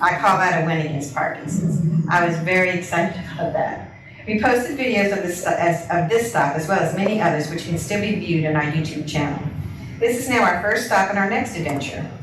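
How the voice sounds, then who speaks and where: Through noticeable background noise and audible room echo, a woman with a fairly low pitch talks at a fairly quick pace with ordinary pitch variation. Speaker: person with Parkinson's giving a talk. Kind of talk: presentation to a support group. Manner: fast.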